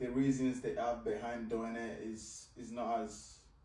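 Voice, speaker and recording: Vocal fry marks this man's medium-pitched voice, which has a Nigerian accent. His pitch variation is ordinary, and room echo is audible. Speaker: fitness and life coach. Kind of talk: coaching conversation.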